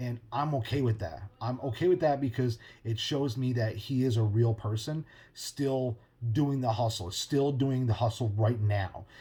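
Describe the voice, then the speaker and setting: A man with a medium pitch and a dark, mellow, somewhat breathy tone talks at a moderate pace with ordinary pitch variation. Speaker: podcast host. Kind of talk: casual monologue.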